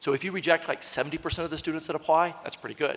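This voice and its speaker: A man talking at a very fast pace. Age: 60s. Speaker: university system president. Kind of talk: ceremonial speech. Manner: halting.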